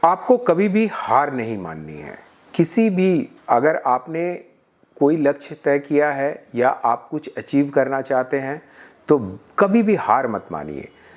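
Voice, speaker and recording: A normal speaking voice from a man with fairly high pitch, lively intonation and big swings in loudness. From Jamshedpur, Jharkhand (Bihari family). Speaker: IT delivery operations manager. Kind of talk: interview answer.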